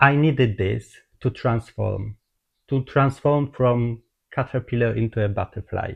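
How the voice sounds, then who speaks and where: A man in a Polish accent, somewhat breathy, with fairly even intonation at a fairly slow pace, dry and close with no echo against a quiet background. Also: medium pitch for a man. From Poland. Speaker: holistic therapist. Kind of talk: personal testimony. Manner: halting.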